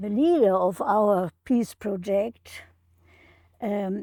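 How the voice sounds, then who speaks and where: A woman speaks very slowly with a non-native accent, her medium pitch and dark, mellow tone carried by lively intonation in a dry, close recording with no echo. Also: very clean recording, silent background. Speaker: retired professor of education. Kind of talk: prepared remarks read in an interview. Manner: halting.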